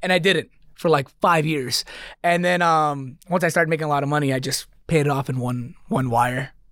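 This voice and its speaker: A man with a normal speaking voice and an American accent, fairly high in pitch, fairly quick in pace, with ordinary pitch variation. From New York, Queens and Long Island. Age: 20s. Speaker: comedian and social media creator. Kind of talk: casual chat.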